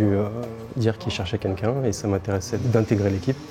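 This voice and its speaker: A man at a very fast pace, fairly low in pitch with fairly even intonation, over noticeable background noise. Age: 30s. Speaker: cutler. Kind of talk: casual self-introduction interview.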